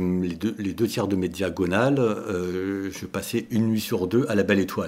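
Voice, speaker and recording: Fairly low-pitched male speech at a moderate pace. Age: 60s. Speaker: long-distance cyclist. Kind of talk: interview. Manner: hesitant, many fillers.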